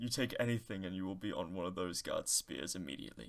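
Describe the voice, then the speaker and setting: A man puts on a character voice with a very deep, low pitch. He speaks at a very fast pace. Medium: actual play.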